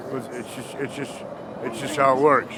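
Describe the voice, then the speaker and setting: Fairly even intonation with audible room echo and noticeable background noise. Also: man. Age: 50s. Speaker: former special ed teacher and musician. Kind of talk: street interview, casual chat.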